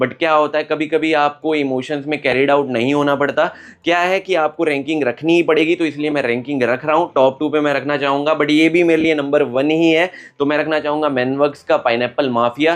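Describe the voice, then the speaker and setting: A man with a fairly high pitch speaks at a moderate pace in monotone, flat intonation and very even loudness. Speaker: perfume reviewer. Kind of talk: product review monologue. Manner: casual, conversational.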